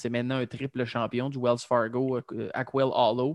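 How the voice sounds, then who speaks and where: A man with a Quebec accent at medium pitch and moderate pace, in a quiet background with a dry, close sound and no echo. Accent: Québécois French. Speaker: golf podcast host. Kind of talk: casual chat.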